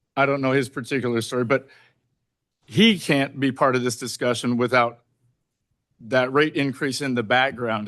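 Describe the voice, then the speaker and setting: A man speaks loudly at a fairly quick pace in a bright, sharp tone. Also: quiet background. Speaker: board member. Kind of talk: board meeting discussion.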